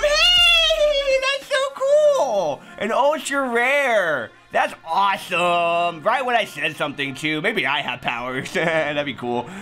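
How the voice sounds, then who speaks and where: A man talking at a very slow pace over faint music in the background. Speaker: card opening host. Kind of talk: casual vlog chat.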